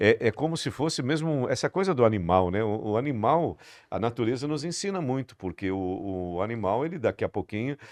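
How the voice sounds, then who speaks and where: A man talks at a fairly quick pace with a medium pitch and very wide pitch swings. The sound is dry and close, with no echo. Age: 60s. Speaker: podcast host. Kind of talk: interview podcast.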